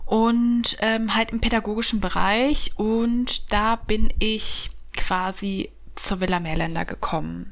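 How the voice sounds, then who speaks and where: A woman's fairly high-pitched voice at a very slow pace, with fairly even intonation. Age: 30s. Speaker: journalist and podcast co-host. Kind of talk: casual chat.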